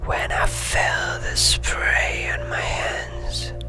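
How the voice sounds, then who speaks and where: With music in the background, a man whispers very slowly in a soft-spoken way. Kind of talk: ASMR story reading. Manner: whispered, soft-spoken.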